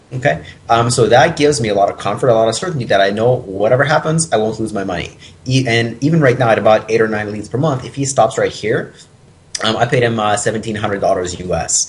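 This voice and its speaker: Speaking at a very fast pace, a man uses a somewhat breathy voice at medium pitch. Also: ordinary pitch variation. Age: 20s. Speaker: personal training business owner and author. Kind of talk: interview.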